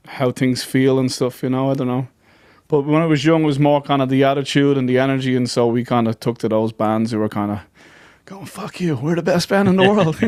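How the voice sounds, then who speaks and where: A man with an Irish accent at a fairly quick pace, with ordinary pitch variation. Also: medium pitch for a man. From Ireland, County Dublin. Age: 40s. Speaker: folk musician. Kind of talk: podcast interview.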